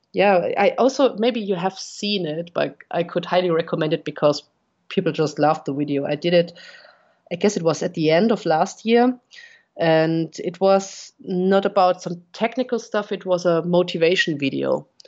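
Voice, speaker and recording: In a German accent, a woman speaks with a fairly low pitch and ordinary pitch variation. Her pace is moderate. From Bavaria, Germany; Munich, Germany. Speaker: RC helicopter pilot and content creator. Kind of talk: casual interview chat.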